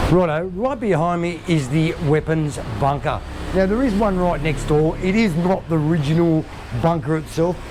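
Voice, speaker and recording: Someone with an Australian accent speaks at a moderate pace over noticeable background noise. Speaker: travel vlogger. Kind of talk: travel vlog narration.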